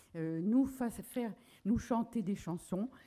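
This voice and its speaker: Ordinary pitch variation colors this voice's dark, mellow tone. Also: woman. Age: 80s+. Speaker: association founder. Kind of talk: conference talk. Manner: halting, many hesitations.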